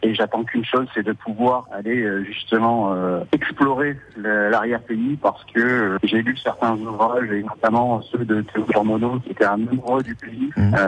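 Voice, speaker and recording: Noticeable background noise accompanies a man at a medium pitch. His delivery is fairly slow, with monotone, flat intonation. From French Basque Country, Bayonne. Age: 40s. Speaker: ship worker. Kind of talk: radio interview. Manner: halting, many hesitations.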